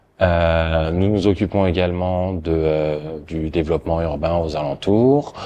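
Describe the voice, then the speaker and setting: A man with a very deep, low pitch, at a very slow pace with fairly even intonation and hardly any pauses, amid noticeable background noise. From France. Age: 30s. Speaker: hotel and office park manager. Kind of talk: interview testimony. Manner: halting, many hesitations.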